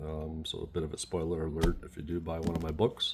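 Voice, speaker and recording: A man speaking at a fairly quick pace. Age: 60s. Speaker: puzzle book author. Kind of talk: tutorial. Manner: hesitant, many fillers.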